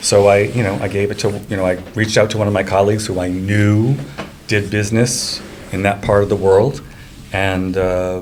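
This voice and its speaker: A man with a fairly low voice speaks at a moderate pace in a monotone, flat way. Noticeable background noise and audible room echo surround him. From Rhode Island, Cranston. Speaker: real estate agent. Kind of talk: casual chat.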